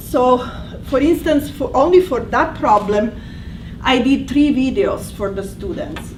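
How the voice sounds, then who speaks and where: In an Italian accent, a woman speaks at a high pitch and fairly slow pace with ordinary pitch variation, amid audible room echo and noticeable background noise. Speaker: language instructor. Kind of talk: presentation. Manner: halting.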